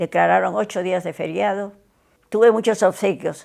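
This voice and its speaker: A woman speaks with lively intonation. Vocal fry marks her voice. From Peru. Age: 90s. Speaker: interviewee, witness of history. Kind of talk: testimony. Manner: halting.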